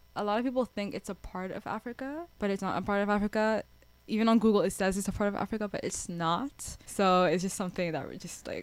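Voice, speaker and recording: On a very clean recording with a silent background, a woman speaks fairly quickly at medium pitch with ordinary pitch variation and hardly any pauses. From Mauritius, raised in Canada from age four. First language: French. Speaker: university student and radio station volunteer. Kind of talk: interview.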